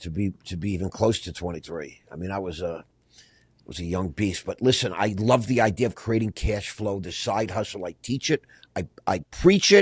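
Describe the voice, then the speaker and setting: Somewhat breathy and fairly low in pitch, a man speaks at a moderate pace with ordinary pitch variation and big swings in loudness, in a dry, close sound with no echo. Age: 60s. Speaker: podcast host. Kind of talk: casual interview. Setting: studio. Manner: animated.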